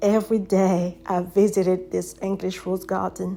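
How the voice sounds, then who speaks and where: Over music in the background, a woman with a French accent talks at a moderate pace and a medium pitch. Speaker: poet and author. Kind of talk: poetry reading.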